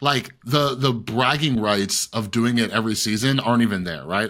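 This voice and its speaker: A man talks in an unremarkable speaking voice at a moderate pace. His pitch is medium, with ordinary variation. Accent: American. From Nevada. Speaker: podcast co-host and YouTuber. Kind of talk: casual chat. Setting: video call.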